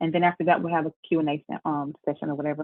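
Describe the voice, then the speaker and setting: The woman speaks with monotone, flat intonation. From Memphis, Tennessee (US South). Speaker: tax business owner. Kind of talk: webinar presentation. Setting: video call. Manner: fast.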